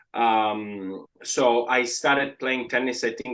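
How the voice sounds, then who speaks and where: In an Italian accent, a man speaks at a very slow pace and a medium pitch with fairly even intonation. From Italy, Palermo, Sicily. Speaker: real estate agent. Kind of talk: podcast interview. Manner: halting, many fillers.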